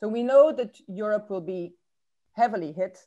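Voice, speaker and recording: Her voice shows ordinary pitch variation at a moderate pace. Behind this woman, the background is quiet. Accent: Irish. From Ireland. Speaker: academic speaker on trade policy. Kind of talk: conference talk. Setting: webinar. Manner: hesitant, many fillers.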